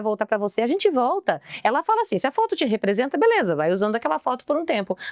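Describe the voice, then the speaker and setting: A woman talks at a very fast pace with a high pitch and very wide pitch swings. The sound is dry and close, with no echo. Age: 40s. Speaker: mentor and speaker. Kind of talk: podcast interview. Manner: talkative.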